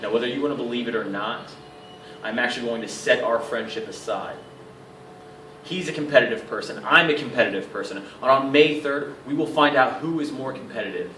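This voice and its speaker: A man's fairly quick speech with ordinary pitch variation, big swings in loudness, and noticeable background noise. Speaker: professional wrestler. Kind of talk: wrestling promo.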